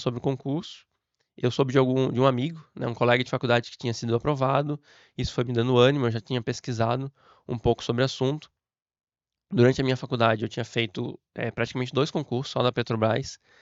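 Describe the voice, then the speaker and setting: Talking at a very fast pace, this man has a medium pitch. His intonation stays fairly even. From southern Brazil, Florianópolis, Santa Catarina. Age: 30s. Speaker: civil servant and exam prep teacher. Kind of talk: motivational talk to camera.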